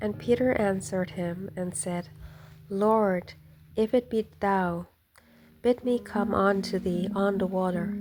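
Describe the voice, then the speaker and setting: A woman speaks at a very slow pace in a gentle, calm tone at medium pitch, her fairly even intonation broken by long, frequent pauses over music in the background. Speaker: hobby Bible narrator. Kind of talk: scripture reading. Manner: calm, easy.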